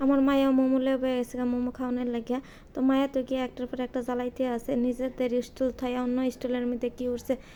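High-pitched woman with a dark, mellow tone. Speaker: cooking vlogger. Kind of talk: vlog narration. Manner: animated.

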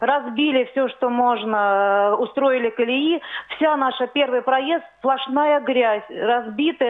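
A woman speaks at a very slow pace with a high pitch and fairly even intonation. Her loudness swings widely. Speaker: viewer calling in. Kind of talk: phone-in complaint. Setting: phone call.

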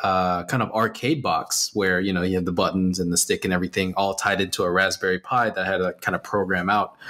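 The background is quiet. A man speaks in a fairly low pitch with a bright, sharp tone. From Texas. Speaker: animation artist and art instructor; art instructor. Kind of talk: interview. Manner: casual with many fillers. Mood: relaxed, friendly. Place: home room.

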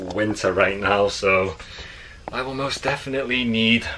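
A man with a fairly low voice is heard amid noticeable background noise. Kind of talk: casual vlog chat. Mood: reflective, a little emotional. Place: home room. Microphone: phone near.

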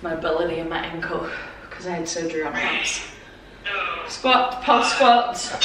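Over loud background noise and audible room echo, a woman speaks at a fairly slow pace. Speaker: fitness creator. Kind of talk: workout tutorial. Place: home room. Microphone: camera far.

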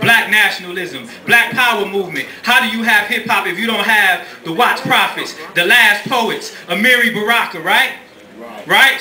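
A man speaks at a moderate pace in a raised, projected voice with ordinary pitch variation, with audible room echo and light background noise. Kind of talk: oratory to a live audience. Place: stage. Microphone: camera far.

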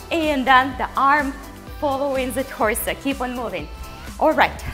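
At a fairly slow pace, a woman speaks in a high voice while faint music plays in the background. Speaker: fitness instructor. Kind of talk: workout instruction. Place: studio.

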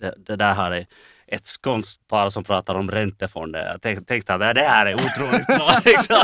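At a moderate pace, a man with a fairly low pitch and a bright, sharp tone speaks with ordinary pitch variation, the sound dry and close with no echo. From Finland. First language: not Swedish; Swedish is his third language (speaking Swedish). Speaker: finance professional, lawyer and community member. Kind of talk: interview. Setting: studio visit. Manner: halting, many repetitions and fillers.

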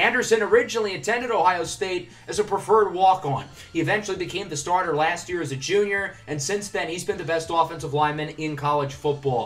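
A man speaks at a very fast pace in a high pitch with ordinary pitch variation. He leaves hardly any pauses, over noticeable background noise. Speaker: gaming youtuber. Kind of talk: gameplay commentary.

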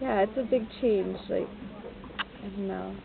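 Speaking at a fairly slow pace, a woman with an American accent uses a medium pitch, ordinary pitch variation, and vocal fry.

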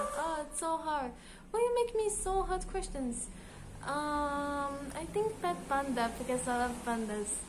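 A woman's high-pitched voice at a fairly slow pace, full of very wide pitch swings, against noticeable background noise. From Israel. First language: Hebrew. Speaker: gaming YouTuber. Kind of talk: casual vlog Q&A. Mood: cheerful, playful. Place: home room. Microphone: phone near.

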